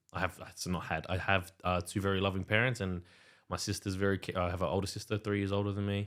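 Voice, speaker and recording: A man with an Australian accent, very fast and monotone in flat intonation, on a very clean recording with a silent background. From Western Sydney, Australia. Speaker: DJ and music producer. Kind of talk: casual podcast chat.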